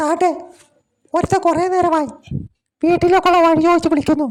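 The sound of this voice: A female-sounding cartoonish character voice, pitched extremely high, moves at a moderate pace.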